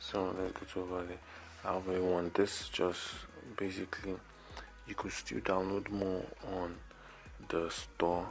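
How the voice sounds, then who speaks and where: A man with a very deep, low voice talks at a moderate pace in a monotone, flat intonation, with long, frequent pauses and music in the background. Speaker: video editing tutorial youtuber. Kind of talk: tutorial. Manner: quiet, talking low; casual, halting.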